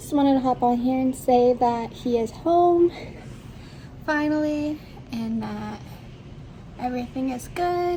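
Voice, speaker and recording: Over noticeable background noise, a woman with a high pitch and ordinary pitch variation speaks at a fairly slow pace, leaving long, frequent pauses. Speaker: vlogger, new parent. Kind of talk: casual vlog update. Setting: at home. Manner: soft-spoken; hesitant with fillers.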